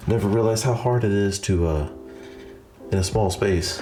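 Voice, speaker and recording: Ordinary pitch variation and very even loudness, with audible room echo and music in the background. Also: man. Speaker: YouTube DIY host. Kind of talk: DIY tutorial. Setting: small bathroom, under the sink. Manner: whispering. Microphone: echoey.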